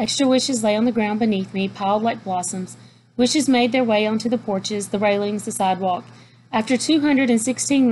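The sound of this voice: The reading voice is unforced. Its pitch moves in an ordinary way.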